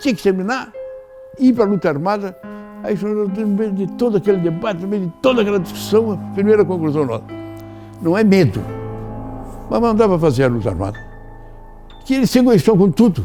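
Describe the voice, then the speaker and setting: Over music in the background, a man with a high pitch and lively intonation speaks at a fairly quick pace, broken by long, frequent pauses. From Brazil, Rio Grande do Sul. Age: 80s+. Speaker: veteran politician, former senator. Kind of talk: interview answer.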